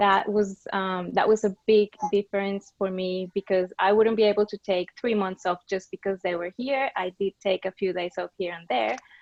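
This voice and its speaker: The speaker goes at a moderate pace with hardly any pauses, using fairly even intonation in a Colombian accent. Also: woman, medium pitch for a woman. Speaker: business strategy and marketing coordinator. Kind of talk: panel discussion.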